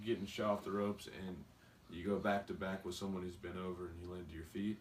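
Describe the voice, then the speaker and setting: A man talks at a very fast pace with a very deep, low pitch in an Appalachian accent. His intonation is monotone and flat, while his loudness swings widely. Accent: rural Appalachian, sounds like a redneck. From West Virginia, Beckley. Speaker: pro wrestler. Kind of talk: interview.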